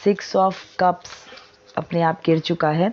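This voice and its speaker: Over noticeable background noise, a woman speaks with a fairly low pitch. Her intonation is monotone and flat. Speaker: tarot reader. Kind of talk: tarot reading. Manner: conversational Hindi-English code-mixing.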